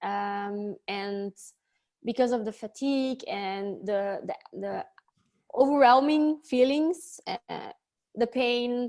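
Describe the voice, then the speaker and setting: Speaking very slowly in a Dutch accent, a woman uses ordinary pitch variation and takes long, frequent pauses against a quiet background. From Belgium, Antwerp. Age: 30s. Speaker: life coach. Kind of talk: interview. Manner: halting.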